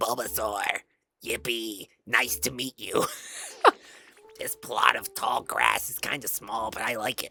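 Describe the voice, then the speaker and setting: A raspy, low-pitched put-on character voice goes at a fairly slow pace. Long pauses come often. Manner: cute, cheerful, squeaky.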